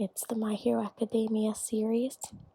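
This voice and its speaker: A soft-spoken whisper delivered at a moderate pace. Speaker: student. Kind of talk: ASMR show-and-tell to camera. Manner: soft-spoken, whispered.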